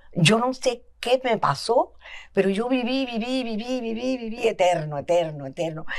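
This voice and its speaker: Her pitch fairly high, a woman talks at a fairly slow pace with very wide pitch swings. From Cuba, Havana area. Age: 80s+. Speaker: guest telling life story. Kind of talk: testimony. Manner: hesitant, many fillers.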